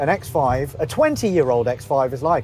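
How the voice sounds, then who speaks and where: A man is speaking. The sound is dry with no echo, and there is light background noise. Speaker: car reviewer. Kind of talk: car review commentary. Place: car.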